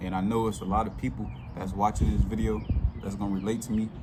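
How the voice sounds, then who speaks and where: There is audible room echo as a man with a fairly low pitch speaks at a fairly quick pace with ordinary pitch variation. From Chicago, South Side. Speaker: YouTuber telling his life story. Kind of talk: casual storytelling monologue. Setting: outdoors. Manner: casual, heavy filler words.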